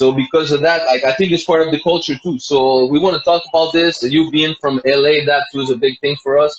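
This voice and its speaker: A man with a non-native accent at a fairly high pitch and fairly quick pace, amid noticeable background noise. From Montreal, Quebec. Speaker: podcast host. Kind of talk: interview. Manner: halting, many fillers.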